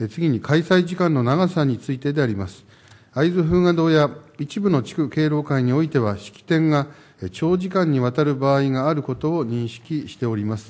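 A man's moderate pace and ordinary pitch variation. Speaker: mayor. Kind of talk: formal council answer. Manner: formal. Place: hall. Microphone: podium.

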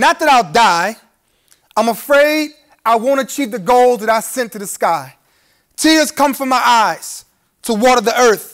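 A man with an American accent, fairly slow, with long, frequent pauses, against a quiet background. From Brooklyn, New York. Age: 30s. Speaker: spoken word poet. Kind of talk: live spoken word poetry performance. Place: hall.

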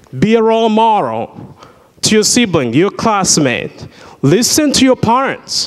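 Very wide pitch swings at a fairly slow pace over a quiet background. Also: man, high pitch for a man. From Burundi. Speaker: surgical worker and invited speaker; speaker. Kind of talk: inspirational talk to school students. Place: church. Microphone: handheld.

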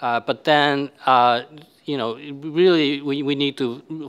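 Against a quiet background, a man with a Japanese accent talks at a very slow pace with fairly even intonation. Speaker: university vice president; panelist. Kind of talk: panel discussion. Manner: halting. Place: hall. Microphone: podium.

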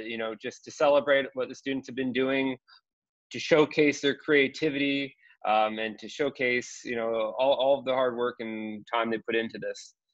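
Over a quiet background, a man with a Canadian accent talks at a moderate pace in a flat monotone. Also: dry sound with no echo. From Canada. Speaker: school digital literacy coach. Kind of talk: webinar presentation. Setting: video call from home. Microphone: video call.

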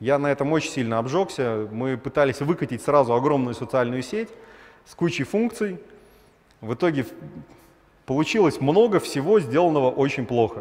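A man speaks at a moderate pace with lively intonation, a fairly high pitch, big swings in loudness, and long, frequent pauses. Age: 30s. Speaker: startup founder, former realtor; conference speaker. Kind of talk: conference talk; conference talk, storytelling. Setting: stage with audience. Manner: animated; casual, filler-heavy. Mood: wry, self-deprecating storytelling. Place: hall. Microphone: headset.

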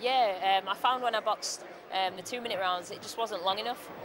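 With fairly even intonation, a woman speaks at a moderate pace in a dry, echo-free sound against noticeable background noise. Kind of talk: interview answer. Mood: cheerful, smiling. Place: hall.

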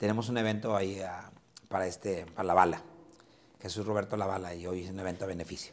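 A man talks very fast in a very deep, low voice. His intonation is monotone and flat. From Mexico. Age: old. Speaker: comedian; comedian guest. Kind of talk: casual chat. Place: hall. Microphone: camera far.

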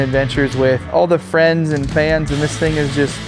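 A man's voice with clear music in the background. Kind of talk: casual tour commentary. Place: garage.

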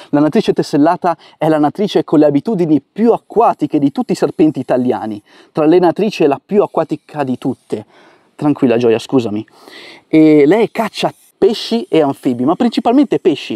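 A dark, mellow voice moves at a fairly quick pace with very wide pitch swings, in a dry, close sound with no echo on a very clean recording with a silent background. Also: man, fairly high pitch for a man. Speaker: wildlife educator, herpetologist. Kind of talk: nature vlog narration. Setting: outdoors by a river. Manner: soft-spoken.

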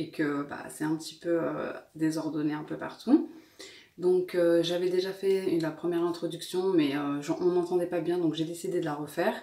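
Speaking at a moderate pace, a woman with a fairly low pitch is heard with audible room echo. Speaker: lifestyle vlogger. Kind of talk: casual vlog chat. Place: kitchen. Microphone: phone near.

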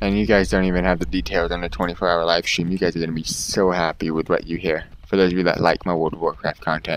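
Over light background noise, a man with a very deep, low pitch and vocal fry speaks at a very fast pace with ordinary pitch variation. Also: hardly any pauses. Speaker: gaming YouTuber. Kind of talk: gameplay commentary. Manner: casual, excitable, profane. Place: home room.

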